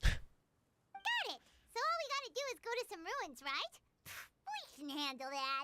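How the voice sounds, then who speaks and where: A put-on character voice, squeaky and extremely high, swings very widely in pitch. It moves at a moderate pace with long, frequent pauses. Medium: video game. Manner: brash, quick.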